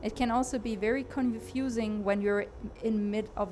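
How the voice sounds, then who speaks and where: Over noticeable background noise, a speaker with a non-native accent talks with fairly even intonation. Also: woman. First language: not English. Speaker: gaming streamer and aspiring game designer. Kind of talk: live gameplay commentary. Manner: hesitant, many fillers and repeats.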